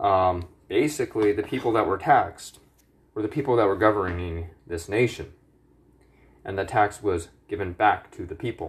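A man speaks at a moderate pace with a fairly low pitch and ordinary pitch variation. His voice is somewhat breathy against a quiet background. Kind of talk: angry rant. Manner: agitated, indignant, heated, with swearing and accusatory jabs at the government.

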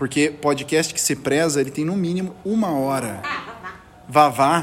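Speaking at a fairly slow pace, a man uses a playful, animated tone, a fairly high pitch and ordinary pitch variation. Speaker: amateur podcast host. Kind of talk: casual chat among friends.

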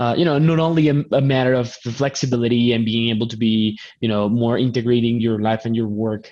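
With a Spanish accent, the speaker goes at a fairly quick pace with ordinary pitch variation. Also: man. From Colombia. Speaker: podcast host. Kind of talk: live stream interview. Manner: repetitive, halting starts.

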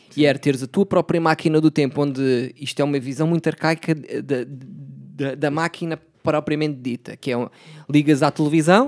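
Recorded with a dry, close sound and no echo, an unremarkable speaking voice moves at a moderate pace. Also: man. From Portugal, Setúbal. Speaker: podcast host. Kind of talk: casual chat.

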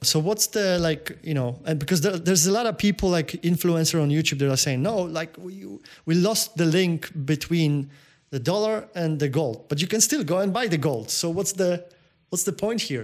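A man with a Polish accent, high in pitch, with ordinary pitch variation and a moderate pace. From Poland. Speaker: podcast host. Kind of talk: interview. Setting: Las Vegas.

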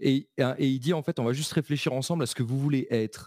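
A man's very fast speech in a dark, mellow tone, with a dry, close sound with no echo and a very clean recording with a silent background. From eastern France, Belfort. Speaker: American football coach. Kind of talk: casual interview.

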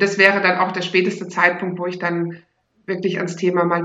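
At a moderate pace, a woman of medium pitch speaks in a flat monotone. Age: 40s. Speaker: teacher and sex education course leader. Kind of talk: interview, casual chat.

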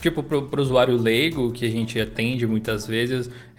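A man at a moderate pace, monotone and flat in intonation, with noticeable background noise. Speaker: tech podcast co-host and Linux video creator. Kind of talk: casual chat.

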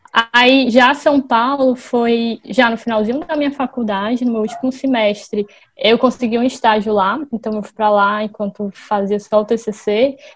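A woman speaks in a fairly high pitch with fairly even intonation. Her pace is fairly slow. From Brazil, Fortaleza (Ceará). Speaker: company employee. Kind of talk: casual interview. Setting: remote recording from home.

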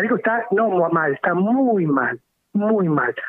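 His pitch leaps up and down across a very wide range. It is a man talking. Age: 50s. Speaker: local politician. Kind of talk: radio interview. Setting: phone call.

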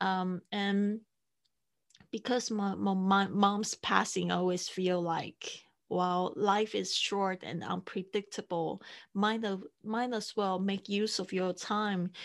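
Very slowly and in a monotone, flat intonation, a woman with a medium pitch speaks with a Mandarin accent. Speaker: podcasting coach and producer. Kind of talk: interview. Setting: remote call. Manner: halting.

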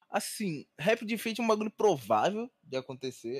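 Recorded with a dry, close sound and no echo, a man speaks with very wide pitch swings. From Rio de Janeiro, Brazil. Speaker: rapper and music artist. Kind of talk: casual chat.

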